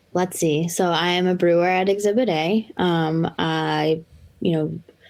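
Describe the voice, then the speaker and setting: A woman with a fairly low voice speaks in an American accent. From Massachusetts North Shore (Lynn). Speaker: brewer. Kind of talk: casual chat.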